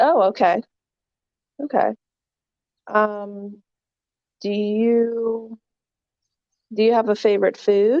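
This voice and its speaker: A woman with an American accent talks at a very slow pace, with long, frequent pauses and ordinary pitch variation. Her fairly high voice has a dark, mellow tone and a dry, close sound with no echo. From US East Coast, near New York City. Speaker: online English tutor. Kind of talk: casual conversation lesson.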